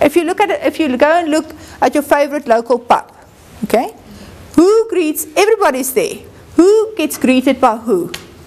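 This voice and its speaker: A woman, high-pitched, with very wide pitch swings and long, frequent pauses over noticeable background noise. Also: moderate pace. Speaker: university lecturer. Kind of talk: lecture.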